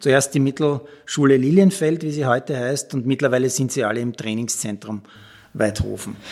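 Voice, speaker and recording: A man with a plain, everyday voice speaks at a moderate pace, medium in pitch with ordinary pitch variation. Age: 50s. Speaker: sports reporter and podcast host. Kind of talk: storytelling podcast narration.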